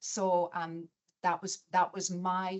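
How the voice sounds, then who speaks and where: A woman speaks with a Scottish accent. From Scotland, Glasgow area. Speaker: chief nurse executive. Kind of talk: interview.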